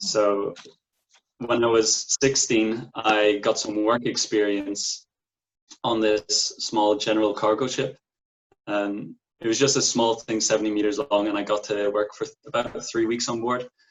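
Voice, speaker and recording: In a Donegal accent, a man with a fairly low pitch speaks at a fairly slow pace in a monotone, flat intonation, with long, frequent pauses. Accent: Irish (Donegal, Ulster). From Ireland, County Donegal. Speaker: merchant navy officer graduate. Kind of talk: interview.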